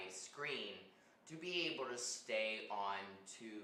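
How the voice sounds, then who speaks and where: Amid audible room echo, a man speaks at a very slow pace in a fairly low pitch and a bright, sharp tone. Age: 30s. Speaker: artist streaming live painting. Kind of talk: casual live stream chat. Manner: hesitant, many fillers like um and uh.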